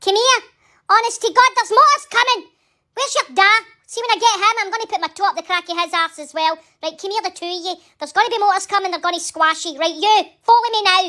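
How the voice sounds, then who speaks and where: A woman uses a put-on character voice at an extremely high pitch. She talks at a very fast pace. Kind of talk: comedic voice-over. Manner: scolding, loud.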